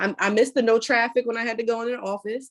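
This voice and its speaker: Fairly quick speech from a woman with a fairly high pitch. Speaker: podcast co-host. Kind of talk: casual chat. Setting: video call. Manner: fast.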